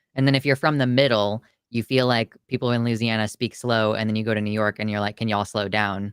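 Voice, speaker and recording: A man's medium-pitched voice with an American accent at a very fast pace, with fairly even intonation, in a very clean recording with a silent background and a dry, close sound with no echo. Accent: Kansas City accent, sounds somewhat Southern. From Kansas City area, US Midwest. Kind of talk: casual chat.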